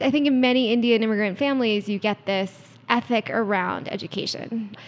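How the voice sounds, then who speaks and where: Talking at a fairly quick pace, a woman uses an ordinary speaking voice with a fairly high pitch. She has an American accent. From US East Coast, DC area. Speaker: startup CEO. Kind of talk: interview.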